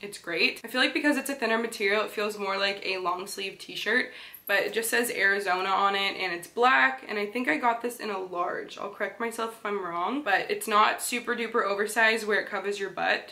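A woman with a Canadian accent talks at a fairly quick pace, with hardly any pauses. Her pitch varies in an ordinary way. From Canada. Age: 20s. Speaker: fashion vlogger. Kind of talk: casual talk to camera. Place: home room.

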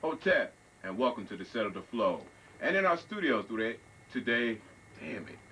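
Light background noise sits behind this man. His pace is moderate. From Long Island, New York. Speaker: TV show host. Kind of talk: interview. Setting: studio. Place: studio. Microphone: handheld.

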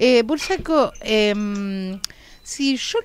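Very wide pitch swings, dry sound with no echo, and light background noise. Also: woman. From Argentina. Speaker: radio co-host. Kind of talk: radio interview. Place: studio.

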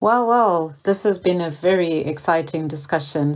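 Here is a woman with a plain, everyday voice and a fairly low pitch. She goes at a moderate pace with ordinary pitch variation. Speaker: podcast host. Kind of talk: interview.

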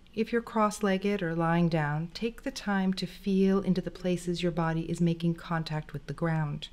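Pitch moves in an ordinary way in a plain, everyday voice. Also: woman. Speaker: meditation teacher. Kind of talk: guided meditation with calm breathing cues and gentle instructions. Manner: slow, soothing, unhurried pacing with repeated breath prompts; gentle, soft-spoken and encouraging.

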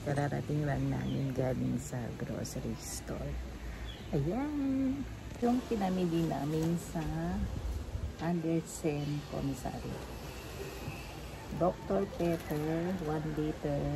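A woman talks at a very slow pace with long, frequent pauses. There is noticeable background noise. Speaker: vlogger. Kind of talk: casual vlog chat. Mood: cheerful. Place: garden. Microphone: phone near.

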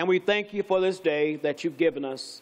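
A man's high-pitched voice at a moderate pace with ordinary pitch variation. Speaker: pastor. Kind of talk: sermon prayer and scripture reading. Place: church.

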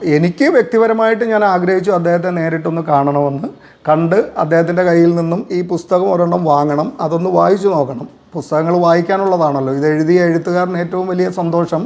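Here a man speaks in a high pitch with ordinary pitch variation. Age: 40s. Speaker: soldier and poet reviewing a book. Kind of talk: video testimonial.

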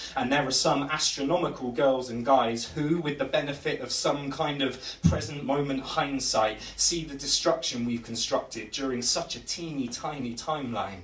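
A man speaks at a fairly high pitch with ordinary pitch variation and hardly any pauses. Room echo is audible. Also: moderate pace. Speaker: spoken word poet. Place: bar. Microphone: camera far.

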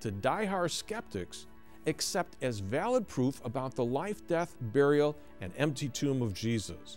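A man's voice with faint music in the background. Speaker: ministry host. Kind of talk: scripted address to viewers. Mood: warm, earnest. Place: studio.

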